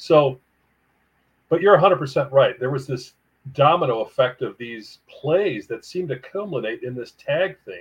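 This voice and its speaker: A man's fairly high, somewhat breathy voice, lively in intonation, fairly slow in pace, with big swings in loudness. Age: 60s. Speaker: author. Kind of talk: interview.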